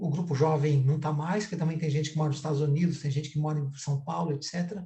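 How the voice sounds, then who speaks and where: A man speaks in a monotone with flat intonation and a fairly high pitch. His tone is dark and mellow. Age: 60s. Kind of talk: online panel discussion. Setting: video call, streamed live.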